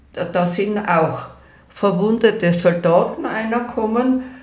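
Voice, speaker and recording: Over noticeable background noise and audible room echo, a woman talks at a medium pitch with lively intonation. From Innsbruck, Tyrol, Austria. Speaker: elderly eyewitness recounting local history. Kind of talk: oral history interview. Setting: at her home.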